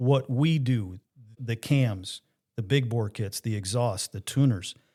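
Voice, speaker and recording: Over a silent background in a very clean recording, a man talks fairly slowly in a normal speaking voice, medium in pitch with ordinary pitch variation. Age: 60s. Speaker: motorcycle parts tech and sales rep. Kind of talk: casual podcast conversation.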